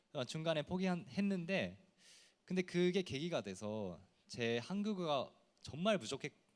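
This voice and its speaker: Very wide pitch swings at a moderate pace. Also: man. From Japan. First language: Japanese (speaking Korean). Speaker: TV personality. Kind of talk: panel discussion.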